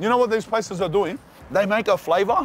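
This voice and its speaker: Over light background noise, a man with high pitch and ordinary pitch variation speaks in a dry sound with no echo. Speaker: food reviewer. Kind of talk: casual food review vlog chat. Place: street. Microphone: lapel.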